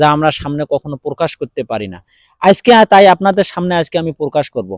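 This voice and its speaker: In a very clean recording with a silent background and a dry, close sound with no echo, a man with an ordinary speaking voice talks at a fairly high pitch with lively intonation. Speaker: vlogger. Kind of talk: vlog monologue.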